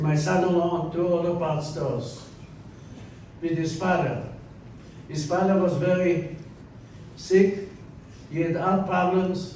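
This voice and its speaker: A man's high voice at a fairly slow pace, with fairly even intonation, long, frequent pauses, audible room echo and noticeable background noise. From Poland. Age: 80s+. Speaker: Holocaust survivor speaker. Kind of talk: testimony.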